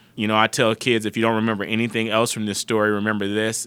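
A man's very fast, monotone, flat delivery at a fairly low pitch, with an American accent, on a very clean recording with a silent background. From Chicago, US Midwest (South Side). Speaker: corporate diversity officer and attorney. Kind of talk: interview.

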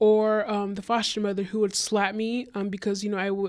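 In a very clean recording with a silent background, a woman of medium pitch talks at a fairly quick pace. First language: Spanish. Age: 20s. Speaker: passport specialist. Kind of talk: interview. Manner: halting.

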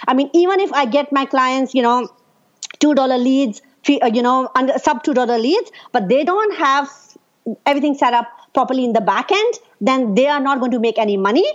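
Her high voice moves at a fairly quick pace with lively intonation while the loudness stays very even. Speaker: Facebook ads specialist. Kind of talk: interview answers, casual conversation. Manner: fast talker, loud.

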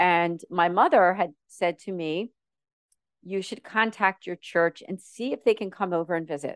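A woman with a plain, everyday voice, medium pitch and ordinary pitch variation at a moderate pace, in a dry, close sound with no echo. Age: 50s. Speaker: model, actress and ministry founder. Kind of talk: interview testimony.

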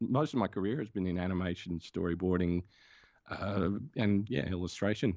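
Moderate pace and ordinary pitch variation, in an Australian accent. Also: man, very deep, low pitch for a man. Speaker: comics creator and animator. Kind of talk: casual interview.

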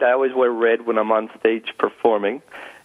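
A man's medium-pitched voice, with ordinary pitch variation, is heard against noticeable background noise. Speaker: stand-up comedian and corporate speaker. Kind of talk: casual interview. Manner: loud.

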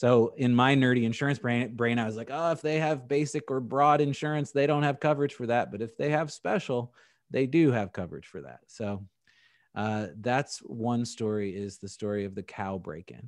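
With an American accent, a man uses an ordinary speaking voice at medium pitch, moving at a moderate pace with ordinary pitch variation and big swings in loudness. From San Diego and Indianapolis, US. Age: 40s. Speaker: insurance agency owner. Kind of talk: podcast interview.

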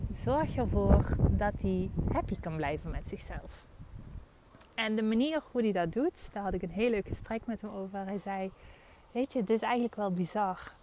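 Pitch shifts in an ordinary way while the talking keeps a moderate speed. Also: woman, medium pitch for a woman. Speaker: podcast host. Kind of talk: casual monologue. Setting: outdoors. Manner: animated.

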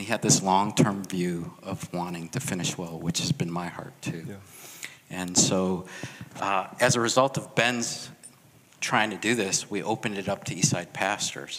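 At a moderate pace and with a Chicago accent, the speaker uses ordinary pitch variation while the loudness swings widely. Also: man, fairly low pitch for a man. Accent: Chicago American English. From US Midwest, Chicago. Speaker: pastor. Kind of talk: testimony.

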